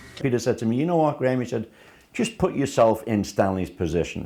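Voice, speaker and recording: This man speaks with a Liverpool accent. His tone is dark and mellow, and his intonation is lively. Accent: Scouse. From Liverpool, England. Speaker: first-time actor. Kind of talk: interview testimony.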